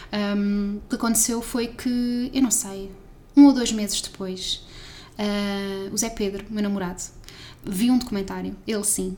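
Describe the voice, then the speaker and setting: Her pitch sits in the medium range, and her intonation stays fairly even. The woman speaks at a moderate pace. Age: 20s. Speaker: science communicator. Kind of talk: casual chat.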